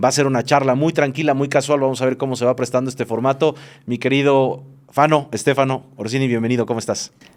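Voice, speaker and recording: He talks at a very fast pace in a medium pitch. His intonation is monotone and flat. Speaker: podcast host. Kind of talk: casual interview chat.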